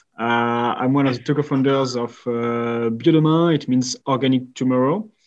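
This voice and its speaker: A man talks with a French accent at a medium pitch. His intonation stays fairly even. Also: moderate pace. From France. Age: 20s. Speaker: company co-founder. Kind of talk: podcast interview. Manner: halting.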